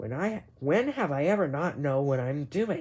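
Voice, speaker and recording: This is a put-on character voice at a low-to-middle pitch. The pace is moderate. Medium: read story.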